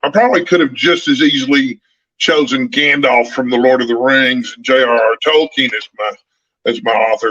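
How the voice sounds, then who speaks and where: A man's fairly high voice with a bright, sharp tone and a Texan accent, ordinary pitch variation and a moderate pace, in a dry, close sound with no echo. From Northeast Texas, small town. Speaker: book youtuber. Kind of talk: casual chat.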